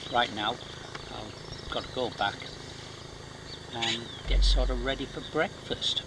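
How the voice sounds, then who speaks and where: A quiet voice speaks at a fairly slow pace with long, frequent pauses amid noticeable background noise. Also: man. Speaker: travel vlogger on survival course. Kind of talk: casual vlog narration. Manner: quiet, hushed.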